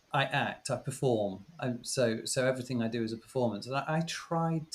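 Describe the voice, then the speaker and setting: With a British accent, a man speaks at a medium pitch and sounds somewhat breathy. His pitch moves up and down in an ordinary way. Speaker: former teacher. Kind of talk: casual chat. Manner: halting.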